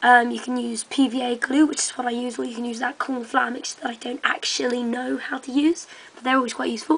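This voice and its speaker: A woman speaks in a high voice with monotone, flat intonation and big swings in loudness. Background noise is noticeable. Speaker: hobbyist video maker. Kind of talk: tutorial. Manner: hesitant, many ums.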